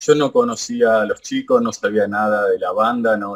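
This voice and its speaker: A man speaks with a Rosario accent. His pace is moderate. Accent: Rioplatense Spanish (Rosario). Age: 40s. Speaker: radio host. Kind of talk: interview. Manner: halting.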